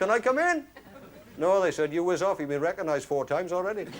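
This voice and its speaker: There is noticeable background noise behind this man. He talks at a very fast pace with lively intonation. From Wales. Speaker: actor. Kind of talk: one-man stage play monologue. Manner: dry, humorous storytelling.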